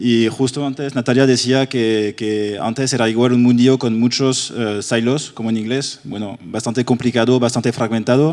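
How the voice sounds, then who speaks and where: With a French accent, a man talks at a moderate pace and medium pitch, keeping his intonation fairly even. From France. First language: French (speaking Spanish). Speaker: ad-tech industry panelist. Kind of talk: panel discussion.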